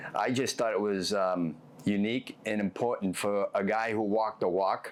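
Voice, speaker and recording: In a Boston accent, the speaker moves at a moderate pace with fairly even intonation and very even loudness. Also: man, fairly low pitch for a man. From Boston, South Boston. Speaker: former mob enforcer, author. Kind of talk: interview. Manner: halting, many fillers.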